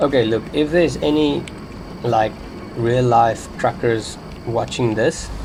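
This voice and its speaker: Over noticeable background noise, a man talks with very even loudness and long, frequent pauses. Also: medium pitch for a man, ordinary pitch variation, fairly slow pace. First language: not English. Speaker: gaming youtuber. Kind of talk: gameplay commentary. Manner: unscripted, rambling.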